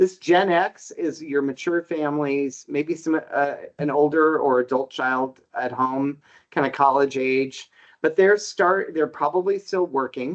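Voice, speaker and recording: This man has a normal speaking voice, fairly high in pitch, with ordinary pitch variation and a fairly slow pace. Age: 60s. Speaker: housing market researcher. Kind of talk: podcast interview.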